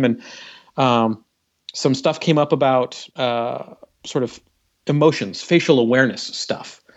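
In a plain, everyday voice, a man talks at a medium pitch and with fairly level intonation. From Canada. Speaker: game developer. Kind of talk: casual chat.

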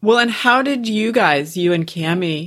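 A woman speaks slowly in a plain, everyday voice with lively intonation, recorded very cleanly against a silent background. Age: 40s. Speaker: podcast host. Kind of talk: casual interview chat.

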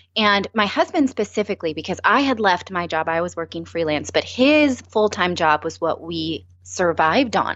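A woman with an ordinary speaking voice talks at a moderate pace, her fairly low pitch carried by lively intonation. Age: 30s. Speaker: former network news anchor, personal finance speaker. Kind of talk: interview.

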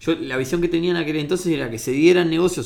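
A man is speaking. The room echo is audible. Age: 30s. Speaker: engineer and entrepreneur. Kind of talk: casual interview. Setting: at a table at home. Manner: halting, many repetitions.

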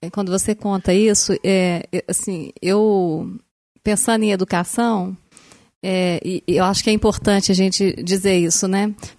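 Against a quiet background, a woman talks with very even loudness and a monotone, flat intonation. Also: medium pitch for a woman, fairly slow pace. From Brazil, Belo Horizonte. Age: 40s. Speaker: educator. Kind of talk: casual chat.

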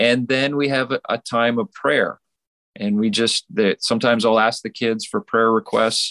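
The sound is dry and close with no echo as a man with a Western Canadian accent speaks with ordinary pitch variation. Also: medium pitch for a man, moderate pace. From Saskatchewan, Western Canada. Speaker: pastor. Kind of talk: interview.

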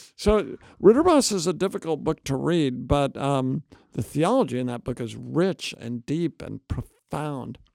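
Lively intonation from a man with an ordinary speaking voice, fairly high in pitch, at a fairly slow pace, in a dry, close sound with no echo. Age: 60s. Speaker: seminary professor and New Testament scholar. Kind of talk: interview conversation.

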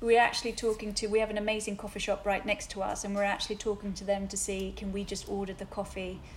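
A woman's medium-pitched, monotone, flat delivery at a very fast pace with hardly any pauses, over noticeable background noise. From Sweden. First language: Swedish. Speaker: hairdresser and salon owner. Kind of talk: interview.

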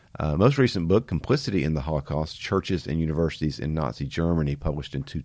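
In a very clean recording with a silent background, a man with vocal fry and a very deep, low pitch talks at a very fast pace with hardly any pauses. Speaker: podcast host. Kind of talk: podcast introduction.

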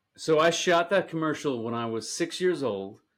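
This man has a fairly high pitch and an American accent. His is an ordinary speaking voice with ordinary pitch variation. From US Northeast, Staten Island, New York. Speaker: actor and comedy director. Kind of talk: casual chat. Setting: remote recording from home.

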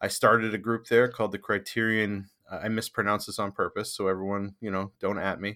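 Recorded very cleanly against a silent background, a man speaks in a fairly low pitch with a bright, sharp tone and flat, monotone intonation, the sound dry and close with no echo. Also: fairly quick pace. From Maine. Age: 40s. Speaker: film podcaster. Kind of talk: casual chat.

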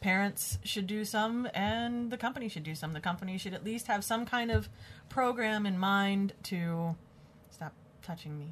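Somewhat breathy, a woman with a medium pitch speaks at a moderate pace with ordinary pitch variation. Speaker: podcast co-host. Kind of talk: casual chat. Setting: studio. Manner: soft-spoken.

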